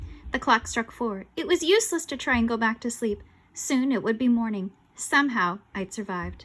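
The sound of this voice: This is an unforced reading voice. Nothing more is heard.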